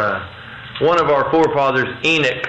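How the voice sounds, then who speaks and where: The speech moves at a fairly slow pace with fairly even intonation, over noticeable background noise. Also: man. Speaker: preacher. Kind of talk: sermon. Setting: stage with audience.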